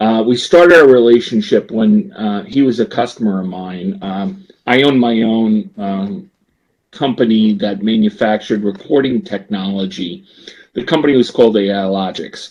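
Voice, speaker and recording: A man speaks with a New Jersey accent. His intonation is lively. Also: medium pitch for a man, moderate pace. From US Northeast, New Jersey. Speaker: business executive. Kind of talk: podcast interview. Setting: podcast.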